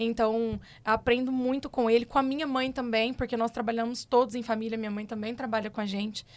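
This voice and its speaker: With a Minas Gerais accent, the speech runs with hardly any pauses in a monotone, flat intonation on a very clean recording with a silent background. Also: woman, fairly high pitch for a woman. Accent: drawling mineiro. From Minas Gerais, Triângulo Mineiro (Brazil). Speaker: agronomist and cattle rancher. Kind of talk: podcast interview. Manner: casual, chatty.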